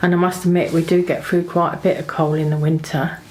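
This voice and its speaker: A woman's flat, monotone voice against noticeable background noise. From Ireland, County Mayo. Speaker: YouTuber, smallholder. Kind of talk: casual talk to camera.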